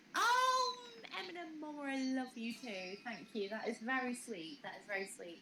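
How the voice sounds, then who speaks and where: A high-pitched woman with a British accent talks at a moderate pace with lively intonation. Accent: British, more refined than Kaz's. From UK. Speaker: live streamer. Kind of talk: casual chat.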